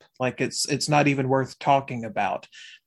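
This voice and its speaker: A man with an unremarkable speaking voice talks at a fairly quick pace. His pitch is fairly high with ordinary variation, over a quiet background. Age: 40s. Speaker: podcast co-host. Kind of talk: casual chat.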